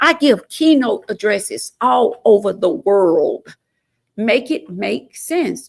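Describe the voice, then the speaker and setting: A woman's very slow speech in an Alabama accent. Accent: US South (Alabama). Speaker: state legislator and mayoral candidate. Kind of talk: interview. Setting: studio. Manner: not loud.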